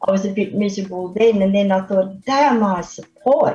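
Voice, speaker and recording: With music behind her, a woman talks at a medium pitch that varies in an ordinary way. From Australia, Victoria (Melbourne area). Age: 70s. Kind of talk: radio interview. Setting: radio studio, live.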